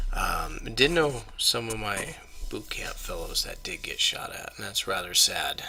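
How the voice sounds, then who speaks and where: A man whispers fairly slowly, with noticeable noise in the background. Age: 30s. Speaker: YouTuber, Marine Corps veteran. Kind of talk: casual vlog monologue. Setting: at home at night. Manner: quiet, subdued.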